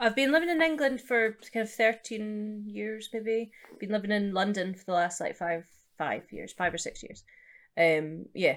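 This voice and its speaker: A woman with a Scottish accent, fairly high pitch, lively intonation and a moderate pace. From eastern Scotland, Edinburgh area. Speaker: jazz musician. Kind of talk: interview.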